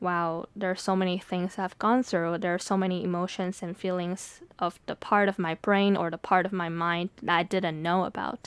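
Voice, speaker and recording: A woman with a Mandarin accent speaks at a moderate pace, medium in pitch, with fairly even intonation, on a very clean recording with a silent background. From Taiwanese American family, Mandarin-speaking home. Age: 20s. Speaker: podcast host and poet. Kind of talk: reflective monologue. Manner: casual, with fillers.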